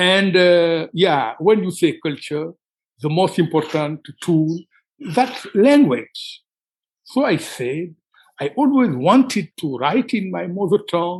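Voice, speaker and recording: A man with a high pitch and a Senegalese accent, very slow pace and lively intonation. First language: Wolof. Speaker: writer. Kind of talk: interview. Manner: halting.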